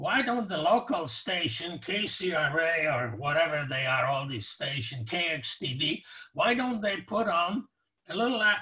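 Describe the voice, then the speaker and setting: His pitch moves across a very wide range. A man speaks at a moderate pace. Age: 80s+. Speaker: professor emeritus and Holocaust survivor. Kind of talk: casual interview conversation. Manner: hesitant, many fillers.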